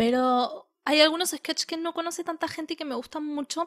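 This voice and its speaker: Very clean audio with a silent background, capturing a woman's dry, close sound free of echo. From Argentina. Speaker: podcast co-host and editor. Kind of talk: casual chat.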